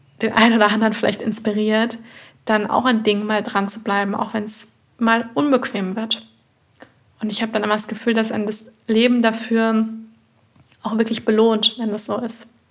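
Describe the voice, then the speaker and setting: In a somewhat breathy, fairly high voice, a woman speaks with monotone, flat intonation and long, frequent pauses. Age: 20s. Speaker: nutrition therapist and podcast host. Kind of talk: solo podcast monologue. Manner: warm, conversational.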